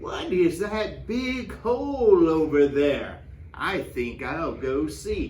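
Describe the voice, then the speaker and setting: A put-on character voice speaks at a very slow pace over clear background noise. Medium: read story.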